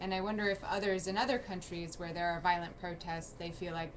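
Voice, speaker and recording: In an American accent, the speaker goes at a fairly quick pace with fairly even intonation, and noticeable background noise is present. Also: woman. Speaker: news journalist. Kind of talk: call-in show.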